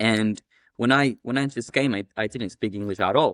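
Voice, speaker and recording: In an Ecuadorian accent, a man speaks at a moderate pace and medium pitch with ordinary pitch variation. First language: Spanish. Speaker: cleaning business owner. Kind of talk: casual interview chat.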